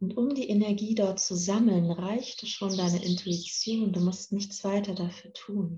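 A woman with an unremarkable speaking voice at a medium pitch, fairly slow in pace, with hardly any pauses and fairly even intonation. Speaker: podcast host and meditation guide. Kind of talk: guided meditation, calm instructions addressed to 'you'. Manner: slow, soft, soothing, with long pauses; gentle and calm.

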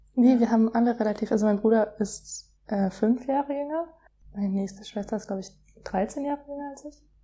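Speaking at a fairly quick pace, a woman with a fairly high pitch shows ordinary pitch variation and big swings in loudness. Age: 20s. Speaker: young mother. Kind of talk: casual chat. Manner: hesitant, many fillers.

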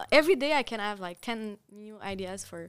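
She speaks with a Quebec accent at a moderate pace. This woman's pitch sits in the medium range. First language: French. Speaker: artist. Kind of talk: interview. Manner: halting.

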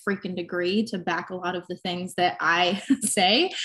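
At a moderate pace, a woman with a plain, everyday voice speaks with ordinary pitch variation. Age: 20s. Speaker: online fitness coach. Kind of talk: casual interview.

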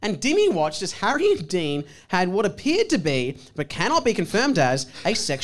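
Unforced voice reading aloud

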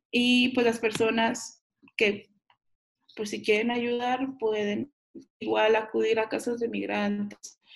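The voice stays monotone with flat intonation. It moves at a very slow pace, broken by long, frequent pauses. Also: woman, fairly high pitch for a woman. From Chihuahua, Mexico. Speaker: human rights defender. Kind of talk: interview. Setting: video call.

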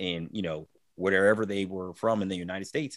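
With an American accent and an unremarkable speaking voice, a man with a fairly low pitch talks at a moderate pace in a very clean recording with a silent background. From US, Maryland. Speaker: adoptee podcaster and author. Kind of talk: interview, personal storytelling.

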